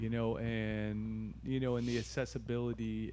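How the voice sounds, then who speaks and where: A man speaks at a fairly slow pace. There is audible room echo. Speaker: surf contest announcer and DJ. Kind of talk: casual chat. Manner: projected, clear pronunciation.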